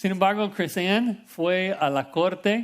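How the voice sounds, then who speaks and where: In a very clean recording with a silent background, a man with an English accent speaks at a very slow pace. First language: English (speaking Spanish). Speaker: pastor. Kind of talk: sermon.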